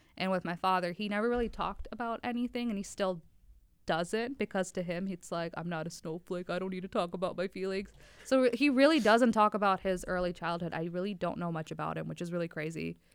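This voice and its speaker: A woman with an American accent talks very fast at a medium pitch with ordinary pitch variation. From Wisconsin. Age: 20s. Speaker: lab technician. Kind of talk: casual chat.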